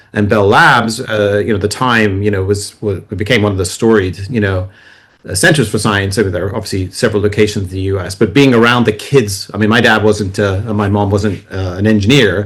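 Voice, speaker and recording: This man's voice sits fairly low and sounds somewhat breathy. His intonation stays fairly even. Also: fairly quick pace. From England, then US (New Jersey) and France. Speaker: author and China tech adviser. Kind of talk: podcast interview. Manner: fast.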